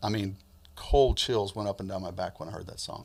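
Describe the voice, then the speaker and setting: A man with an American accent talks at a fairly quick pace in an ordinary speaking voice, with a fairly low pitch and ordinary pitch variation. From US Midwest and South (Alabama, Michigan, Georgia). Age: 60s. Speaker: funeral home owner. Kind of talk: interview.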